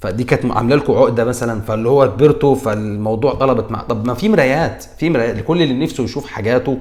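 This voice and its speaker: A man with a Cairo accent, medium pitch and an animated tone, ordinary pitch variation, a very fast pace, and noticeable background noise. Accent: Egyptian Arabic (Cairene). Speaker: comedian, YouTuber. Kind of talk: comedic commentary. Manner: halting, with self-corrections.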